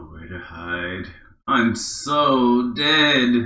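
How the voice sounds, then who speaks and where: This put-on character voice rises and falls with lively intonation. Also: man, medium pitch for a man. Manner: panicked, self-doubting.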